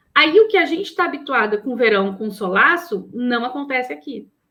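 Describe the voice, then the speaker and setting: A woman talks at a moderate pace in a high pitch. Her pitch swings very widely. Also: big swings in loudness. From southern Brazil, Porto Alegre (Rio Grande do Sul). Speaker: psychologist and professor. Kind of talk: interview conversation.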